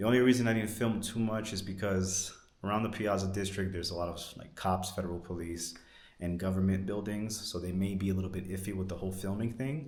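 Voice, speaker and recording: Very deep and low-pitched, a man speaks at a very fast pace with fairly even intonation, with audible room echo. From New York. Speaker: travel vlogger. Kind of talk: travel vlog walkthrough.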